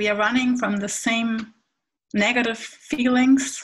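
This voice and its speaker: A woman with a German accent, fairly high in pitch, very slow and monotone with flat intonation, over a quiet background. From Hamburg, northern Germany; Germany. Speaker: panelist. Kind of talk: panel presentation. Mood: warm, earnest. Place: home room. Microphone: webcam.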